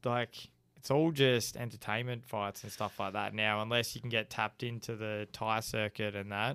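On a very clean recording with a silent background, a man with an Australian accent talks at a moderate pace. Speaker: podcast host. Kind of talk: casual chat.

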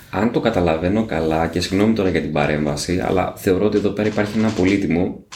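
A man talks with ordinary pitch variation in an unremarkable speaking voice. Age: 40s. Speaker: podcast host. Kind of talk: interview.

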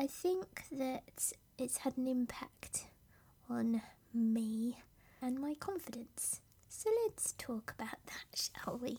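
A soft-spoken woman's high-pitched, dark and mellow voice in a British accent, very slow, with ordinary pitch variation. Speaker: podcast host and business coach. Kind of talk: solo podcast monologue, personal story. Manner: softly spoken, reflective.

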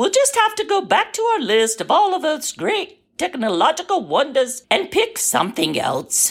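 A high-pitched voice puts on a character. Its pace is moderate. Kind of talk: mock emergency broadcast announcer. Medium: audio drama. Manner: impatient, testy, officious.

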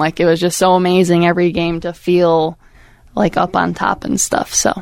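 This woman has an American accent and a fairly low pitch. She talks at a moderate pace. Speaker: former college softball pitcher. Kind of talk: casual chat. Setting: studio.

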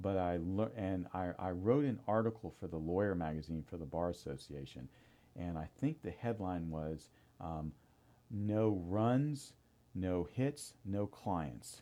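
Against a quiet background, a man with an American accent speaks fairly slowly in a very deep, low pitch with a dark, mellow tone and lively intonation. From US South, Tampa, Florida. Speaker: family law attorney and judicial candidate. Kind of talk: interview. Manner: halting, many fillers and repeats.

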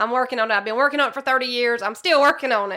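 In a very clean recording with a silent background, a woman speaks very fast with a Southern US accent. Her voice has a fairly high pitch, a bright, sharp tone and ordinary pitch variation.

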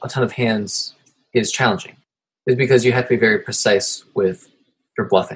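Using an American accent, a man speaks at a moderate pace. His voice sits at a medium pitch and sounds somewhat breathy. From Ohio. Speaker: poker podcast host. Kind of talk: casual interview chat.

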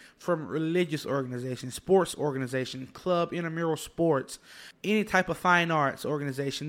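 This man's fairly high voice has fairly even intonation, captured in a very clean recording with a silent background. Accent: Alabama. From Alabama, US South. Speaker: university student leader. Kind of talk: interview. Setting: studio.

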